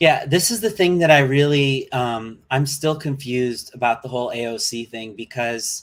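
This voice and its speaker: A man with an American accent, medium pitch, and a fairly slow pace. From US Midwest. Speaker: vegan livestreamer. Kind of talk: live reaction stream. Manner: halting, many fillers.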